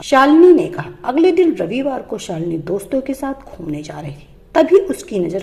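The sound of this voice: With a dark, mellow tone and vocal fry, a woman speaks at a moderate pace in a fairly high voice with big pitch swings.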